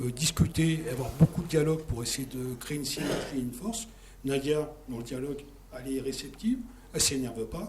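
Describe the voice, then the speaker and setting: Noticeable background noise sits behind a man talking at a fairly quick pace and fairly high pitch. His loudness swings a lot, while his pitch variation is ordinary. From France, Villeneuve-Saint-Georges (Paris suburbs). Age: 60s. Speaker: campaign supporter. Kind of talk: political talk show discussion.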